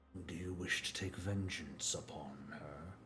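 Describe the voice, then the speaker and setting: A man puts on a character voice with a very deep, low pitch, talking at a moderate pace over clear background noise. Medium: actual play. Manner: measured, formal, cryptic.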